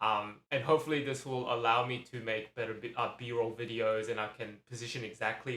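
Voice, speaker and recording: The man's voice sits at a medium pitch and has a bright, sharp tone. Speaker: vlogger. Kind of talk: casual talk to camera. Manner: halting, many ums and repetitions; mumbling at times.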